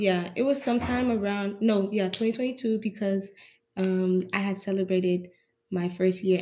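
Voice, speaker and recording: Recorded very cleanly against a silent background, a woman speaks at a medium pitch, somewhat breathy, with a dark, mellow tone and fairly even intonation. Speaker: university student. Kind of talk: casual chat. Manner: quiet.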